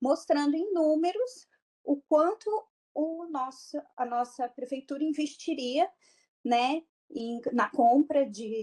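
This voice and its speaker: A woman with a high pitch and a dark, mellow tone speaks very slowly with lively intonation. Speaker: public health program coordinator. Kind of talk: online lecture.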